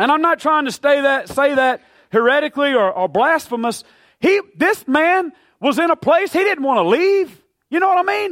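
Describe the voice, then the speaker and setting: A man speaks loudly at a moderate pace in an extremely high voice with lively intonation, with a dry, close sound and no echo. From grew up in the town of his church. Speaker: pastor. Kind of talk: sermon. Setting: church.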